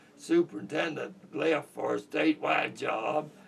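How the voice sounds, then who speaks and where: A man's voice amid noticeable background noise. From Kentucky. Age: 80s+. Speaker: war veteran. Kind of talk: oral history interview.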